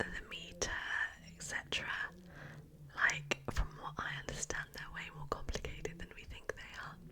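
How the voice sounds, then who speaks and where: Whispering with long, frequent pauses comes through over noticeable background noise. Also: moderate pace. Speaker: ASMR creator. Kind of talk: ASMR whispered talk about science facts. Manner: whispered, rambling, casual.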